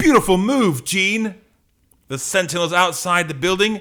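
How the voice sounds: Using a put-on character voice, a man speaks fairly slowly at a high pitch, with a bright, sharp tone and lively intonation, in a very clean recording with a silent background.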